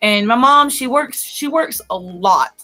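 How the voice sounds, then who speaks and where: A woman talks loudly with a Southern US accent. Her tone is bright and sharp. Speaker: podcast co-host. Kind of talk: casual chat.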